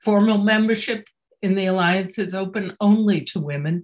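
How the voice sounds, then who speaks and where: Somewhat breathy, a woman speaks at a fairly slow pace with fairly even intonation over a quiet background. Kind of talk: welcome announcement. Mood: warm, welcoming. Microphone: webcam.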